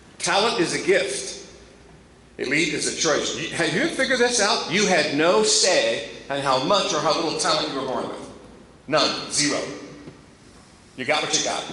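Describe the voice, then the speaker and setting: Amid noticeable background noise and audible room echo, a man with an American accent speaks at a high pitch and a moderate pace, his tone animated and his intonation lively, with long, frequent pauses. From Ohio, Columbus. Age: 60s. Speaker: motivational speaker. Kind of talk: motivational address.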